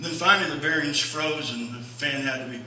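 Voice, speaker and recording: The speaker moves at a fairly quick pace with ordinary pitch variation, with audible room echo and light background noise. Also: man. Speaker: pastor. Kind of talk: sermon. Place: church.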